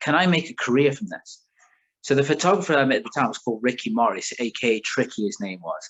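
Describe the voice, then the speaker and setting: A man talks with a northern English accent at a very fast pace, his pitch fairly high. His tone is animated and his intonation lively. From England, raised partly in south of France. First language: French. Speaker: car magazine creator. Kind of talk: casual chat.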